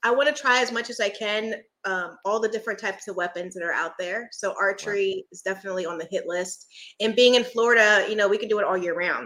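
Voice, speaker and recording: Very fast and bright, sharp in tone, a woman with an American accent speaks at medium pitch with ordinary pitch variation and big swings in loudness. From US Northeast, Philadelphia. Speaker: firearms content creator. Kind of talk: casual interview chat. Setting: live-streamed podcast recording.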